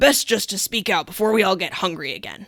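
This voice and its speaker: A woman's raspy put-on character voice at medium pitch, fairly quick, with big swings in loudness. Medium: read story. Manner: terse.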